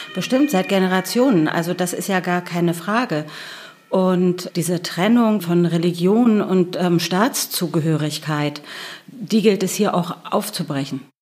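There is noticeable background noise behind this woman. She speaks at a fairly slow pace with a fairly low pitch. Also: ordinary pitch variation. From Germany, Berlin. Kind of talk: interview.

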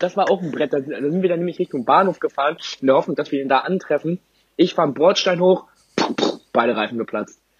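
In a dry, close recording with no echo, a man speaks very fast yet takes long, frequent pauses, with ordinary pitch variation. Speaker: podcast co-host. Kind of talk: casual chat.

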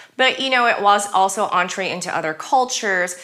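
Her tone animated, a woman talks at a moderate pace. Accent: American. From California, US. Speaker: bar owner. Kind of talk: casual chat.

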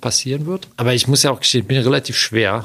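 A man with a medium pitch rushes along at a very fast pace, his pitch varying in an ordinary way. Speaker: Olympic canoe athlete. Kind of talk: interview.

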